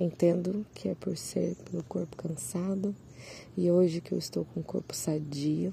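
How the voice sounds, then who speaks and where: At a fairly slow pace, a woman speaks with a very deep, low pitch, a dark, mellow tone and vocal fry. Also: ordinary pitch variation. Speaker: solo podcaster sharing personal reflections. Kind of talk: reflective personal monologue. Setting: outdoors, seated among birdsong.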